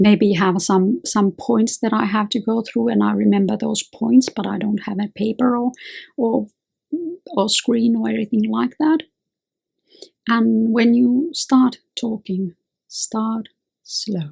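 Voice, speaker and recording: Very slow and marked by long, frequent pauses, a woman's somewhat breathy, fairly high voice carries a dark, mellow tone in a dry, close sound with no echo. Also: ordinary pitch variation. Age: 50s. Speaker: lawyer and self-help video host. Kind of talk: advice monologue.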